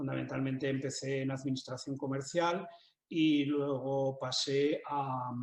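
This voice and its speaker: The man's pitch is fairly high. He talks at a fairly slow pace in a monotone, flat intonation. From Spain, Zaragoza (Aragón). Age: 60s. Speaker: writer and business manager. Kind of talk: interview. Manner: halting, many fillers and repetitions.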